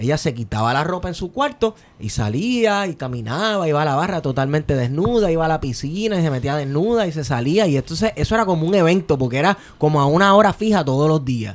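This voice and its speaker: Barely pausing, a man speaks very fast at a fairly high pitch with very wide pitch swings. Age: 30s. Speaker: podcast host. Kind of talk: casual chat.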